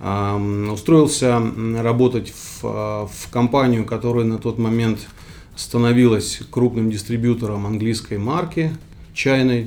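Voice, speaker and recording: Speaking very slowly, this man keeps a medium pitch and a fairly even intonation. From Kyrgyzstan, Central Asia. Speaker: startup founder. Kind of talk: interview. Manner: halting, many fillers.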